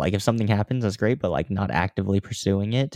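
With an American accent, a normal speaking voice comes through with ordinary pitch variation, a dry, close sound with no echo, and a quiet background. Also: man. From US Midwest, Kansas (Overland Park). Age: 20s. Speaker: online health coach and content creator. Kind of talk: casual chat.

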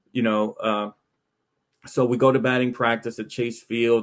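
A man with an American accent at a medium pitch, fairly slow pace and monotone, flat intonation, over a quiet background. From Texas, Arlington area. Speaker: baseball journalist. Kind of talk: casual chat.

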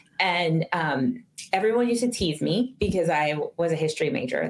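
Using an ordinary speaking voice, a woman speaks at a fairly low pitch with lively intonation. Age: 40s. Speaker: retired intelligence officer and professor. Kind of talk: interview storytelling.

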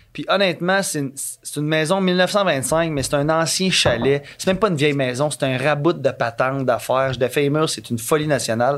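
A man speaks with a Quebec accent at a fairly quick pace, with hardly any pauses. His pitch is fairly high, with ordinary variation. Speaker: podcast guest. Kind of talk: casual chat. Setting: studio.

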